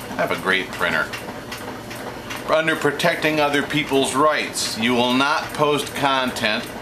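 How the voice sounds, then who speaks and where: The speaker keeps a fairly even intonation and a moderate pace. Noticeable background noise and audible room echo come through. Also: man. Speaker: video blogger. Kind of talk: monologue to camera. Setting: home kitchen office. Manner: halting; off the cuff.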